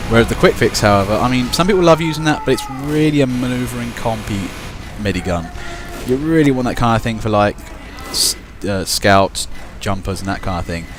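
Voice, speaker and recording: A man with a Kent accent, very fast delivery and lively intonation, over noticeable background noise. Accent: Kentish. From Kent, southeast England. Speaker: video game commentator. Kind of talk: live commentary. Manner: casual, rambling with hesitations.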